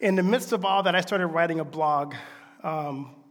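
Audible room echo surrounds a man with an American accent who speaks fairly quickly at a fairly high pitch with fairly even intonation. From US South. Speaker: pastor. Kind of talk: sermon.

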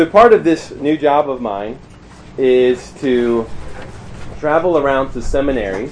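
Over noticeable background noise, a man with an American accent speaks at a medium pitch and a fairly slow pace, leaving long, frequent pauses. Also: ordinary pitch variation. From US Mid-Atlantic (Maryland, near Pennsylvania border). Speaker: campus minister / preacher. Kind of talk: sermon. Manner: hesitant with fillers.

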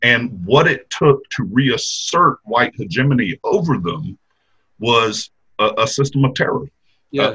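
A man with a Mississippi accent speaks at a medium pitch in a bright, sharp tone with lively intonation. The sound is dry and close, with no echo. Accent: US Southern (Mississippi). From Mississippi, Jackson area. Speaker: history professor. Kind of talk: interview.

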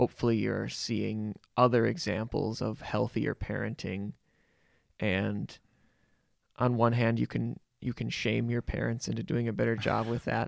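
A fairly slow pace in a dry, close sound with no echo. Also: man. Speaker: podcast co-host. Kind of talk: casual chat.

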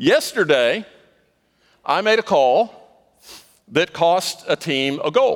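The recording is very clean, with a silent background. A man is the speaker. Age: 60s. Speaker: pastor. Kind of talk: sermon. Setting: church.

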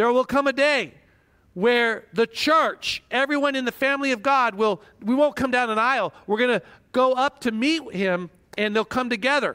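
On a very clean recording with a silent background, a man speaks in an extremely high, bright, sharp voice with ordinary pitch variation. His voice is raised and projected, very even in loudness, at a moderate pace. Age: 50s. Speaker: pastor. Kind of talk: sermon.

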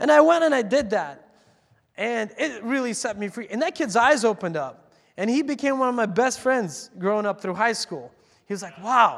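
An animated man's voice at an extremely high pitch, in a very clean recording with a silent background. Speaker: pastor. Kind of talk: sermon. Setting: church. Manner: fast.

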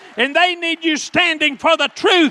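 A man's extremely high, raised and projected voice with an animated tone, ordinary pitch variation and a Southern US accent, in a dry, close sound with no echo. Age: 60s. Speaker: preacher. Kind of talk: sermon, call-and-response preaching to a congregation, building to an altar call. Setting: church. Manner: animated, fervent and exhorting; colloquial and direct, urging the audience to answer.

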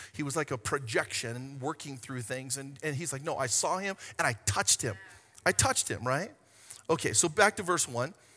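A bright, sharp tone carries lively intonation at a moderate pace. The recording is very clean, with a silent background. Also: man, fairly high pitch for a man. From Hawaii. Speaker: pastor. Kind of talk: sermon. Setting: church stage with congregation.

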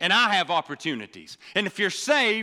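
A man talks in a raised, projected voice. The sound is dry and close, with no echo. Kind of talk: sermon. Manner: animated, punchy preaching with call-and-response; urgent, exhortative, repeating phrases for emphasis.

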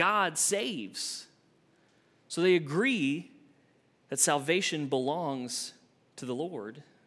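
A man's voice makes very wide pitch swings amid audible room echo. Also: long, frequent pauses. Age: 30s. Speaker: associate minister, preacher. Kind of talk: casual, conversational church sermon teaching through the Book of Jonah. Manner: chatty and informal, with frequent fillers and repeated words; rhetorical check-ins with the congregation, frequent 'right?'.

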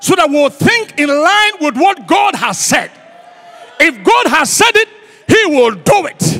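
A man with an extremely high pitch uses a raised, projected voice and an animated tone, his pitch swinging very widely at a fairly slow pace. Noticeable background noise is present. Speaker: guest preacher. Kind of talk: sermon. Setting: church. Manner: animated, repetitive call-and-response preaching; rhetorical, emphatic repetition.

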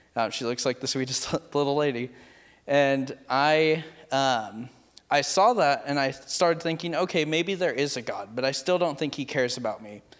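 With an American accent, a man has an unremarkable speaking voice, fairly high pitch, ordinary pitch variation and a moderate pace. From California, Merced. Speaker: youth pastor. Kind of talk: testimony.

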